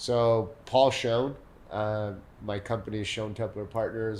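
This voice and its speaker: A man talks at a moderate pace in a fairly low pitch. His intonation stays monotone and flat. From Mexico City, then San Diego from age 14. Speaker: real estate developer. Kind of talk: podcast interview. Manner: repetitive false starts.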